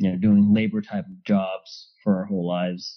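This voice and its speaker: With a Californian accent, a man speaks at a moderate pace. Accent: Californian American English. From Los Angeles, Southern California. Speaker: process engineer. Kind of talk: casual interview chat.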